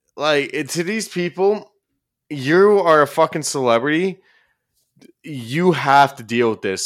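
With a Canadian accent, a man uses an ordinary speaking voice and lively intonation at a fairly slow pace. The recording is very clean, with a silent background. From Ontario, Canada. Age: 20s. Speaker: YouTube commentator. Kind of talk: casual chat.

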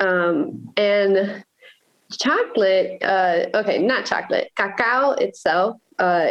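A woman with an American accent speaks at a medium pitch. Her pace is very slow. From Miami, Florida, Nicaraguan household. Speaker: painter. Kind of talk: interview.

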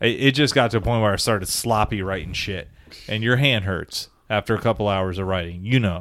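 With a plain, everyday voice, a man in an American accent talks at a fairly quick pace, fairly low in pitch, with ordinary pitch variation. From South Florida. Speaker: sports podcast co-host. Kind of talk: casual chat.

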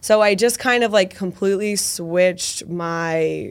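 In an American accent, a woman speaks in a normal speaking voice with fairly even intonation. Her pitch is fairly low, and the recording is very clean with a silent background. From Massachusetts, Boston area (Medford). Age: 20s. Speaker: makeup artist. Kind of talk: casual interview with tutorial explanations.

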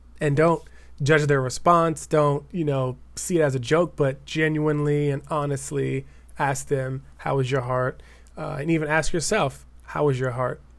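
A man with a plain, everyday voice, fairly high in pitch, moderate in pace, with fairly even intonation. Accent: American. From Denver, Colorado. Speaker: writer and educator. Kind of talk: casual chat. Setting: video call.

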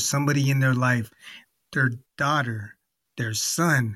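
In a warm, upbeat tone, a man speaks somewhat breathily at a fairly slow pace. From living in Germany. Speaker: podcast host. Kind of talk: interview, intro.

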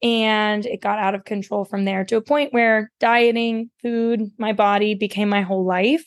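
A woman's normal speaking voice with an American accent, fairly high in pitch, at a moderate pace with fairly even intonation and hardly any pauses, in a dry, close sound with no echo. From West Virginia. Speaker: dietitian. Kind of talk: interview.

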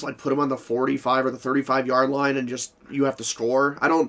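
Talking at a fairly quick pace, a man has an unremarkable speaking voice with a fairly high pitch. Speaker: podcast host. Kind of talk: casual sports chat.

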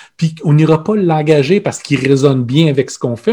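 A man with a dark, mellow tone and fairly high pitch speaks very fast, somewhat breathy, with ordinary pitch variation. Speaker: podcast co-host, organizational consultant. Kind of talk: casual chat.

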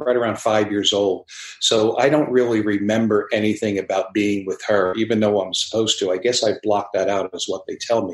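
A man's normal speaking voice at fairly low pitch and a fairly quick pace, with fairly even intonation and hardly any pauses. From US, New Jersey. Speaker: basketball coach. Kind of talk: interview conversation.

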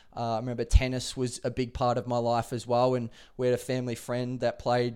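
A man with an Australian accent speaks at a medium pitch and a fairly quick pace, in a very clean recording with a silent background. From Adelaide, South Australia. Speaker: professional footballer. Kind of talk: interview.

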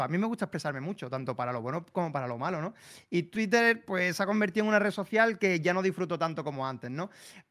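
Very wide pitch swings at a very fast pace, on a very clean recording with a silent background. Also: man. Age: 30s. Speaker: streamer. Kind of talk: casual chat.

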